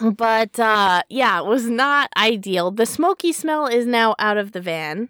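A woman with an American accent speaks at a fairly slow pace with hardly any pauses, her intonation lively and her tone bright and sharp, in a dry, close sound with no echo on a very clean recording with a silent background. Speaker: podcast co-host. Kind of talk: casual chat; podcast outro. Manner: animated.

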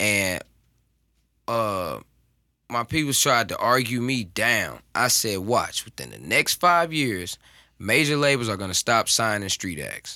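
An unremarkable speaking voice with an American accent moves at a fairly slow pace. Its intonation is lively and its loudness swings widely. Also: man, medium pitch for a man. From North County, St. Louis area (US Midwest). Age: 20s. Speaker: rapper. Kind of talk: casual chat.

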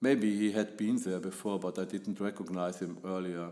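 A man speaks with a German accent at a fairly low pitch. His pace is moderate. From Germany. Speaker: photographer. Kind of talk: podcast monologue.

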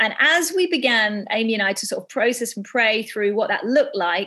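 Lively intonation from a woman at a fairly high pitch and a moderate pace. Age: 40s. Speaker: podcast host, church women's ministry leader. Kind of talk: casual faith podcast introduction. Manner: hesitant, laughing.

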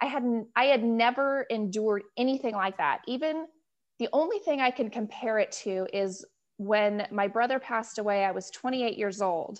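A woman's normal speaking voice, fairly high in pitch, with ordinary pitch variation at a moderate pace over a quiet background. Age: 40s. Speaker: returning podcast guest with a chronic skin condition. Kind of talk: casual interview chat.

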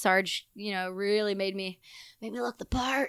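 A woman with a medium pitch speaks at a moderate pace in an animated, bright, sharp tone, recorded dry and close with no echo on a very clean, silent background. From Canada. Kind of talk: casual interview conversation. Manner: loud.

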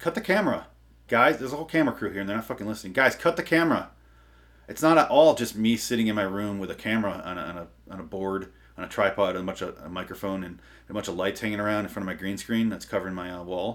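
Talking very fast, a man uses lively intonation and big swings in loudness. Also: fairly low pitch for a man. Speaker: comedy podcast host. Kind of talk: comedic rant. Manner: feigned enthusiasm, sarcastic.

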